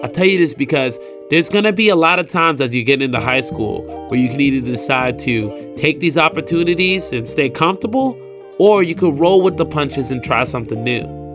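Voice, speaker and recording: Music plays in the background. A man talks at a fairly quick pace over it. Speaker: voice actor. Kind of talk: personal storytelling narration. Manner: casual, conversational.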